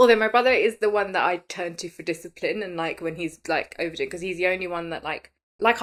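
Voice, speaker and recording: On a very clean recording with a silent background, a woman with a British accent speaks in an animated tone with ordinary pitch variation. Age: 30s. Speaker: podcast host. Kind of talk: casual chat.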